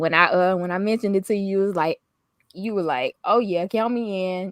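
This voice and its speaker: A woman with a Southern accent, medium pitch, ordinary pitch variation and a fairly quick pace, recorded with a dry, close sound and no echo. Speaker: lifestyle vlogger. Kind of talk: casual chat.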